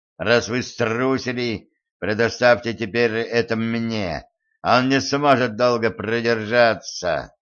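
The background stays quiet. A speaker is reading aloud in a natural voice.

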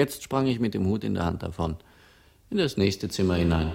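Using a put-on character voice, a man speaks low with vocal fry, lively intonation and a fairly quick pace. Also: slightly mellow tone.

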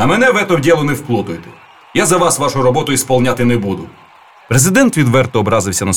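Text read aloud in a plain manner

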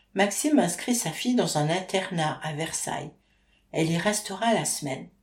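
The reading voice is unforced. Lively intonation runs through it.

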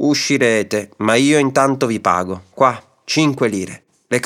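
Someone reading aloud in a natural voice, the background quiet.

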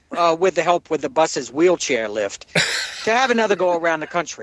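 Lively intonation in an American accent, with a dry, close sound and no echo. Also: man. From New Jersey. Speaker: listener calling in. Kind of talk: comedic voicemail monologue. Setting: phone message.

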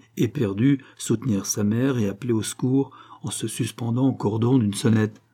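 The clip features reading aloud in a natural voice.

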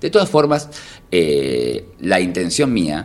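A man's very deep, low voice with vocal fry, very wide pitch swings and a very slow pace. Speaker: stand-up comedian. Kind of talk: casual interview chat.

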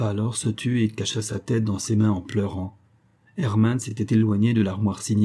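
Reading aloud, plain.

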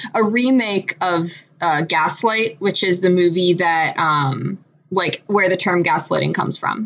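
A woman with an American accent, fairly low in pitch, at a fairly slow pace with very even loudness and ordinary pitch variation, over noticeable background noise. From Michigan. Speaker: podcast co-host. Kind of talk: casual chat. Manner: hesitant, many fillers.

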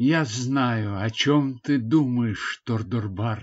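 Reading aloud happens in a natural voice. The pitch shifts by an ordinary amount.

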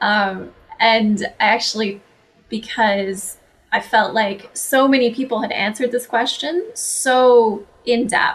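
With a Canadian accent, a woman speaks at a very slow pace, somewhat breathy, with a fairly high pitch and ordinary pitch variation. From Canada. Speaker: holistic nutritionist and author. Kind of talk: interview chat.

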